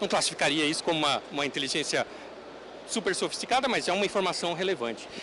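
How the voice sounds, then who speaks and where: Lively intonation over noticeable background noise. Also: man. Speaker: conference speaker on technology. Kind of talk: conference talk. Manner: halting, many fillers.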